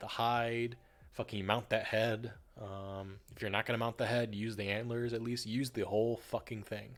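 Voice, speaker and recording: A man speaks in a northern US accent at a medium pitch. His intonation stays monotone and flat. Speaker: streamer. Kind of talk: casual chat. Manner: halting.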